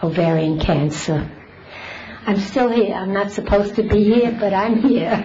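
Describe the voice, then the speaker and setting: Audible room echo and noticeable background noise surround a voice at a moderate pace with ordinary pitch variation. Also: woman, medium pitch for a woman. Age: 80s+. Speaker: resident speaking at public comment. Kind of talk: public comment at council meeting. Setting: town council meeting with audience.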